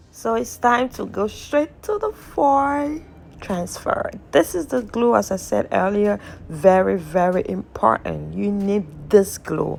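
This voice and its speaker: Noticeable background noise runs under the clip. A woman speaks at a fairly slow pace. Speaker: nail art tutorial creator. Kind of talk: tutorial.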